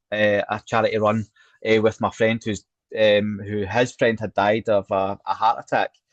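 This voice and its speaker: A man talks at a fairly low pitch with a Scottish accent. His intonation stays monotone and flat. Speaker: cancer survivor, charity worker. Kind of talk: interview.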